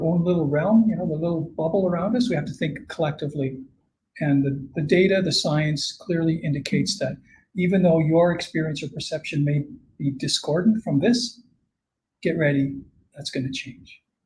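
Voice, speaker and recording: This man's voice sits high in pitch. His pitch varies in an ordinary way. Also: moderate pace. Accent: Canadian. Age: 60s. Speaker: climate scientist. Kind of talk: conference Q&A.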